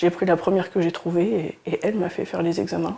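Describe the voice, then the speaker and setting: A woman speaks with a medium pitch. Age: 30s. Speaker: cancer patient. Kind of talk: testimony. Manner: halting, with frequent hesitations.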